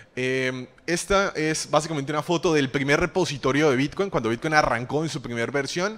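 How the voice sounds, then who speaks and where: A man with a Colombian accent talks at a fairly quick pace with hardly any pauses, using a fairly high pitch and ordinary pitch variation. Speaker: crypto trader, conference speaker; conference presenter. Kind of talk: conference talk; lecture. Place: stage. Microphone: handheld.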